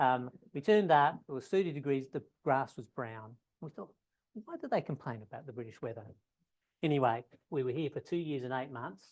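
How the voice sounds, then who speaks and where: An Australian-accented man talks at a fairly quick pace and a fairly high pitch, with lively intonation. His loudness swings widely, and long pauses come often. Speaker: ecology professor. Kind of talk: lecture. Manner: fast.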